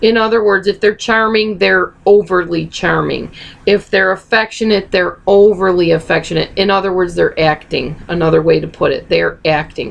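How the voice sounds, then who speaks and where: Over noticeable background noise, a woman speaks at a moderate pace with very even loudness and hardly any pauses. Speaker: video blogger on narcissistic abuse. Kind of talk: casual Q&A video talk.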